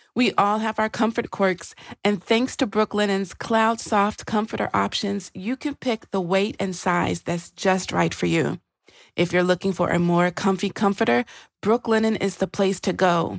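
In a Nashville accent, a woman with a medium pitch and ordinary pitch variation speaks at a moderate pace in a very clean recording with a silent background and a dry, close sound with no echo. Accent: Southern US (Nashville). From Nashville, Tennessee. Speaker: podcast host. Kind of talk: casual conversational podcast with ad reads.

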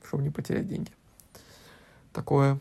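The tone is dark and mellow. Vocal fry runs through it. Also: man. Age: 20s. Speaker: podcast guest, host's husband. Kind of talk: casual chat.

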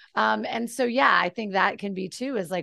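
A woman speaks in an animated tone. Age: 40s. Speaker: mind and body coach. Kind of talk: casual chat.

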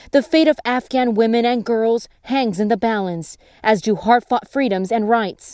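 In a very clean recording with a silent background and a dry, close sound with no echo, a woman speaks at a moderate pace in a fairly high voice with a dark, mellow tone and ordinary pitch variation. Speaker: podcast news host. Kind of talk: scripted news reading. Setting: studio.

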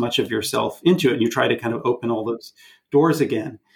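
A man talks at a fairly quick pace in a plain, everyday voice. His pitch is medium. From Canada. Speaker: film director. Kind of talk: casual chat.

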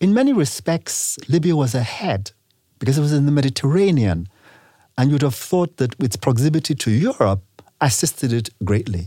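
A man's fairly high, somewhat breathy voice swings very widely in pitch while staying very even in loudness. The recording is very clean, with a silent background. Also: moderate pace. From Nigeria. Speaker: businessman. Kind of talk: interview.

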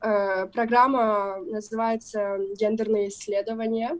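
A normal speaking voice from a woman, fairly high in pitch, at a fairly slow pace with fairly even intonation. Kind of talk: casual interview chat.

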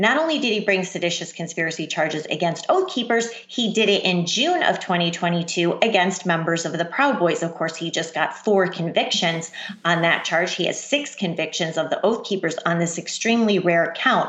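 A woman with an unremarkable speaking voice talks at a moderate pace with hardly any pauses. Her pitch is medium, with ordinary variation. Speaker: journalist. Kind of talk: interview.

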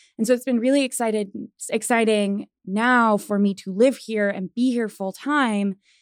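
A woman with a Midwestern American accent speaks in a fairly high pitch with fairly even intonation. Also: moderate pace, very clean recording, silent background. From Missouri, Springfield. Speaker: career services director at a coding school. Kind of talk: casual interview.

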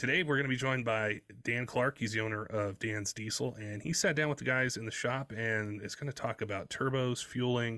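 In a very clean recording with a silent background, a man with a medium-pitched voice speaks in a bright, sharp tone with fairly even intonation. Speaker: podcast host. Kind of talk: scripted intro and ad read.

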